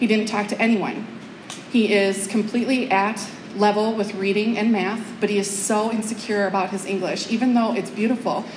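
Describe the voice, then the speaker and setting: Light background noise sits behind the woman's voice. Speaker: teacher giving a talk. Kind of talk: public speech storytelling. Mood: warm, heartfelt. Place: hall. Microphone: pa.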